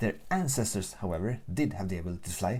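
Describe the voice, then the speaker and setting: A man with a Swedish accent speaks in a fairly low pitch. His voice is somewhat breathy, with lively intonation. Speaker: gaming YouTuber. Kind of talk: casual let's play commentary. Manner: casual, unscripted.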